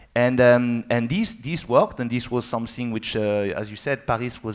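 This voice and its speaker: Speaking with a French accent, a man keeps his intonation fairly even. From France. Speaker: motorcycle industry executive. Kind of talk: panel discussion. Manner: halting, with many fillers.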